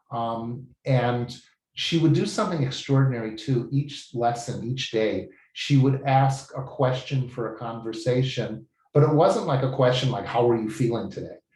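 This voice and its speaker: Speaking at a moderate pace, a man uses a somewhat breathy voice at a medium pitch with ordinary pitch variation. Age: 70s. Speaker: language student giving a testimonial. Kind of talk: testimony. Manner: enthusiastic.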